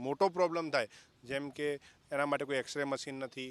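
In a dry, close recording with no echo, a man speaks at a fairly high pitch. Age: 20s. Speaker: voter interviewee. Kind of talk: street interview.

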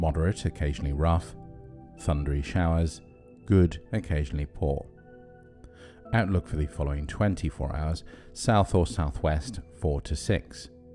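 Over music in the background, a man with a very deep, low pitch speaks in a soothing, calm tone at a moderate pace, using lively intonation and long, frequent pauses. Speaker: ex-professional marine radio operator. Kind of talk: shipping forecast reading, sleep aid. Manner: soothing, calm, measured.

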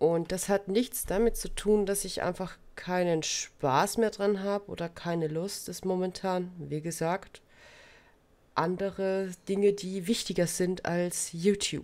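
A woman's intonation stays fairly even as she talks very slowly. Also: medium pitch for a woman. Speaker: crafting YouTuber. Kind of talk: casual vlog monologue.

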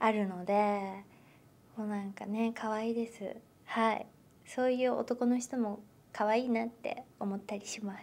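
A woman speaks at a moderate pace with long, frequent pauses. Her fairly high pitch stays in a monotone, flat intonation. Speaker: actress. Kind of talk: interview. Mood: cheerful, thoughtful. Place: meeting room.

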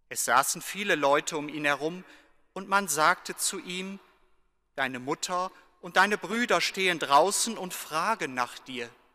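With a bright, sharp tone and high pitch, a man speaks fairly slowly, using ordinary pitch variation and big swings in loudness. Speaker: deacon or priest reading the Gospel. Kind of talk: liturgical reading aloud of scripture. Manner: solemn, measured. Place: church. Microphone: podium.

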